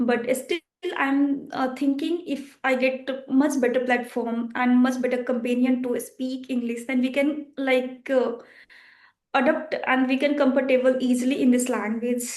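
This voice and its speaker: Audible room echo surrounds a woman speaking in a Bihar accent at a moderate pace. Her pitch is high and her intonation flat and monotone. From India, Bihar. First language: Bhojpuri. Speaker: software engineer. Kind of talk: interview. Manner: halting.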